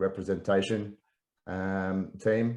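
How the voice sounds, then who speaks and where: A man with an Australian accent and a fairly low pitch, against a quiet background. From Australia, Melbourne. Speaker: real estate professional, former international student. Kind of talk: interview.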